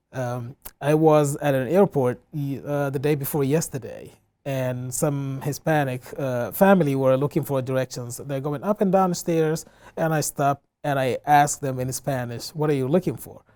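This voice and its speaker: A man speaks in a West African accent, his pitch fairly high with ordinary variation. His tone is dark and mellow, and his pace is moderate. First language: Fulani. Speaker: community center director. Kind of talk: interview. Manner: hesitant, many fillers.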